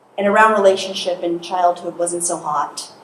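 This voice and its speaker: A soft-spoken woman at medium pitch and moderate pace, amid noticeable background noise and audible room echo. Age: 50s. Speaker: hypnotherapist and speaker. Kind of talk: motivational talk. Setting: stage with audience.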